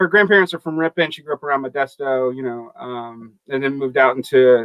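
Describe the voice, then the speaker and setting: This speaker has an American accent. The pace is fairly quick, with ordinary pitch variation. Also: man. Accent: Southern, comes out at times. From US South (Macon, Georgia). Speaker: podcast panelist. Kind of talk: casual panel discussion.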